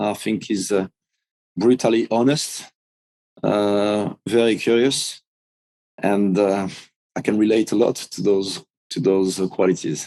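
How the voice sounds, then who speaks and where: A man with a French accent, fairly low in pitch, dark and mellow in tone, with fairly even intonation, a fairly slow pace and long, frequent pauses. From France. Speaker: big wave surfer, author. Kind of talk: interview. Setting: podcast interview.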